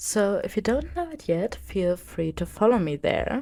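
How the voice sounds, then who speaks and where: A woman speaks at a fairly slow pace with a strong German accent. The recording is very clean, with a silent background. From Germany. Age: 20s. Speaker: podcast host. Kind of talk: casual podcast monologue.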